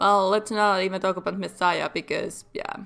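The speaker is a woman. She has a Finnish accent. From Finland. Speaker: gaming YouTuber. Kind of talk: let's play commentary. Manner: halting.

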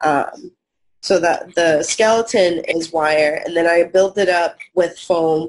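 A woman speaks at a very slow pace. Her voice is fairly low, with fairly even intonation. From Portugal. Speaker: stop-motion animator and puppet maker. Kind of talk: interview. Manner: casual, frequent fillers.

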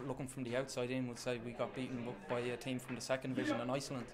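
Very fast speech from a man

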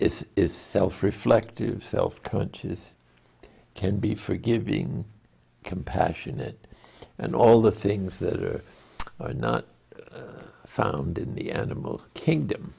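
A man speaks very slowly with a fairly low, dark, mellow voice, vocal fry, very wide pitch swings, big swings in loudness and long, frequent pauses. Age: 90s. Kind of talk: spiritual teaching talk. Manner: slow, hesitant, thoughtful. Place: home room.

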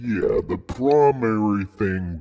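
This man's voice sits at a fairly low pitch. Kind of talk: surreal spoken-word art piece. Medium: audio drama. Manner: rambling, anxious, circling back on itself.

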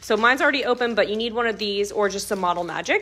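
A woman talking at a very fast pace. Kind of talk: tutorial. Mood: warm, cheerful. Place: home room. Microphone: camera far.

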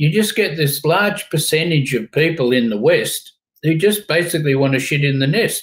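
A somewhat breathy man with an Australian accent at a fairly quick pace, over a quiet background. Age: 70s. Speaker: company founder and chairman; interview guest. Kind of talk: interview. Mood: blunt, opinionated. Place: home room.

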